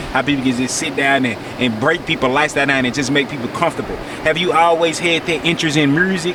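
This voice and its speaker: Very fast speech in a Memphis accent, fairly even in intonation, over noticeable background noise. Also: man, fairly high pitch for a man. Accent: Memphis Southern US. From US South, Memphis, Tennessee. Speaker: interviewer, video channel host. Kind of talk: casual interview chat. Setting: outdoors on a beach.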